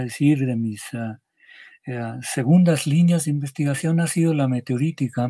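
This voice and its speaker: A man's somewhat breathy voice, fairly high in pitch, with a dark, mellow tone against a quiet background. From Mexico, Michoacán. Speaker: geologist; interviewee. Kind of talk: interview. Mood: calm explanatory. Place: home room.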